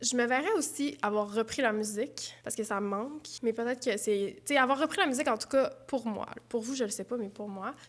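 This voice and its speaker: A woman with a high pitch talks at a fairly quick pace, pausing hardly at all and using ordinary pitch variation. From Quebec, Saguenay. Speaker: YouTuber, knitting and craft vlogger. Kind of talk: casual Q&A vlog. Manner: casual, hesitant with fillers.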